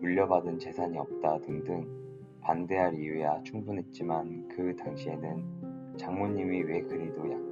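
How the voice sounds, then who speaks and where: A man speaks with music in the background. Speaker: aspiring voice actor student. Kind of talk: audiobook reading for sleep.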